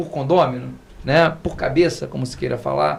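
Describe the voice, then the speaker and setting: A man at a fairly quick pace. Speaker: lawyer. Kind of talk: podcast panel discussion. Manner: fast.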